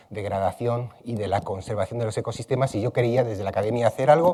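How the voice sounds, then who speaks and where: A dark, mellow tone with a touch of breathiness marks this man's voice. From Spain, Madrid. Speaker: ecology researcher. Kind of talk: plenary conference talk. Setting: conference hall with audience. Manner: many fillers (eh, este).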